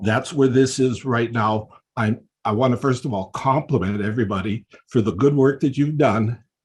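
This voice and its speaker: A man with a medium-pitched, somewhat breathy voice keeps a moderate speed, his pitch varying in an ordinary way. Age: 70s. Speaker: public commenter. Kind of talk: public comment.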